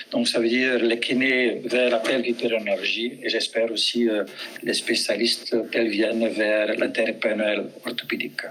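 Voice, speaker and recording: Monotone, flat intonation from a man at medium pitch and moderate pace, with very even loudness and noticeable background noise. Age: 70s. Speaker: physiotherapist and trainer. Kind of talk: webinar presentation.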